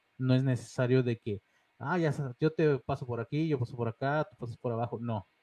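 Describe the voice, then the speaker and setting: An unremarkable speaking voice, this man's is medium in pitch with ordinary variation, recorded dry and close with no echo. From Mexico, León (born in Monterrey). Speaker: independent wrestler. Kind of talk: interview. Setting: studio.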